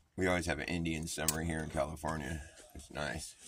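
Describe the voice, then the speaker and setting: Noticeable background noise under a man's very deep, low voice, delivered at a moderate pace. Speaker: livestreamer. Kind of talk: casual livestream chat. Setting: outdoors in the sun. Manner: casual, rambling with fillers.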